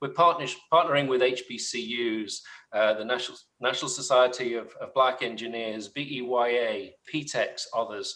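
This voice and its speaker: The speaker is a man with a medium pitch. A bright, sharp tone marks his voice. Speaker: tech company executive. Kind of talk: panel webinar discussion. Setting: webinar.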